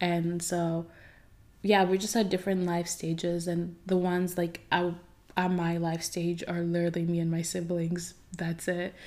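A woman speaks at a moderate pace and a fairly low pitch. Her tone is dark and mellow, her intonation flat and monotone. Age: 20s. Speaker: solo podcast host. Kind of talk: personal monologue.

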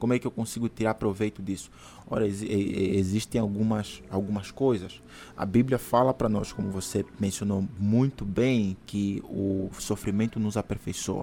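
Fairly low in pitch, a man speaks at a moderate pace in a dark, mellow tone. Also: fairly even intonation. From Angola. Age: 30s. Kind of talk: casual interview with religious teaching. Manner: hesitant with fillers.

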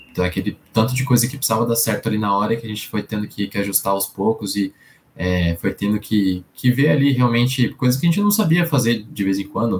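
A man's somewhat breathy voice at a medium pitch, fairly quick in pace, with ordinary pitch variation. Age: 20s. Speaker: employer branding professional. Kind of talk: interview.

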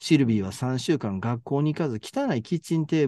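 Speaking with a Kansai accent, a man uses a dark, mellow tone at a fairly quick pace, the sound dry and close with no echo and the background quiet. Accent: Kansai Japanese. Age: 50s. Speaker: podcast co-host discussing translated fiction. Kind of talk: casual chat.

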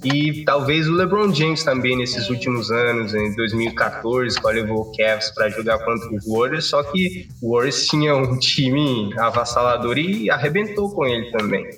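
Music plays behind a man who talks at a moderate pace and medium pitch, with lively intonation and hardly any pauses. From Cape Verde. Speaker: engineering student. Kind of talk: casual chat.

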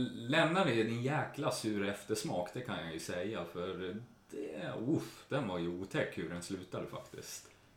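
Hardly any pauses break this fairly slow delivery, which has very wide pitch swings. Audible room echo surrounds the voice. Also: man, medium pitch for a man. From Sweden, Jämtland. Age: 30s. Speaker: care worker. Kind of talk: interview.

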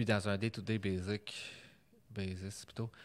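In a Quebec accent, a man speaks at a fairly low pitch with fairly even intonation. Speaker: podcast host, data science. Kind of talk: casual interview. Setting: recorded in Montreal, not usual studio.

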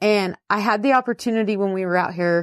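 A woman with a plain, everyday voice speaks at a fairly slow pace in a medium pitch with ordinary pitch variation, in a very clean recording with a silent background and a dry, close sound with no echo. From northern California. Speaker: ranch wife and agriculture educator. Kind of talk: interview.

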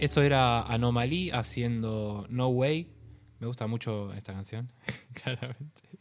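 A man at a medium pitch and fairly slow pace, with ordinary pitch variation and music in the background. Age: 20s. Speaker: podcast co-host and DJ. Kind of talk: casual chat. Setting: home recording.

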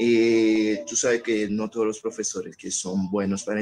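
A man's fairly low-pitched voice. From Haiti. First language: Haitian Creole or French (speaking Spanish). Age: young. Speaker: student and language teacher. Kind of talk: radio panel discussion.

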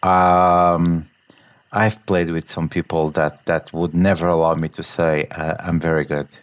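Speaking at a fairly slow pace with a Portuguese accent, a man delivers his words in a monotone, flat intonation at a very deep, low pitch, recorded very cleanly against a silent background. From Portugal. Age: 40s. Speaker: agile coach and musician. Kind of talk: casual chat.

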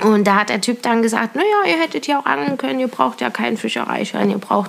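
A woman talks at a fairly quick pace. Noticeable background noise runs under her voice. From Thuringia, Germany (Kochwitz near Weida). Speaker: hobby angler. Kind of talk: casual chat. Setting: own living room.

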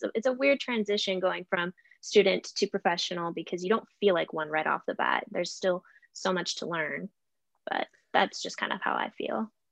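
With an American accent, a woman uses lively intonation and vocal fry in a dry, close sound with no echo. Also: medium pitch for a woman, moderate pace. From southern Oregon. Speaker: TV news reporter. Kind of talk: casual interview chat. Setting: video call.

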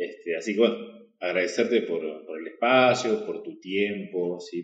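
A man talks with lively intonation. Audible room echo surrounds his voice. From Argentina, Salta. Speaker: podcast host. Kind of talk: interview conversation. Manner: casual, filler-heavy.

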